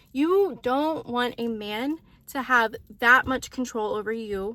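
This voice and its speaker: This woman's voice is raised and projected, pitched high. It carries a bright, sharp tone. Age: 20s. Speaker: lifestyle vlogger. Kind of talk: casual advice monologue to camera. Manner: rambling, lots of filler words; casual, chatty.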